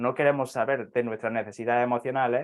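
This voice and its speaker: A man speaks with an Andalusian accent. The background is quiet. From southern Andalusia, Spain. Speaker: astrologer. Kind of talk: interview. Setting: live video stream.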